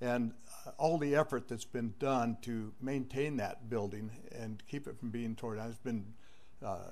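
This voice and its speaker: With audible room echo, a man of medium pitch speaks at a fairly slow pace in fairly even intonation. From Northern California. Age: 80s+. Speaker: public commenter. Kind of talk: public comment.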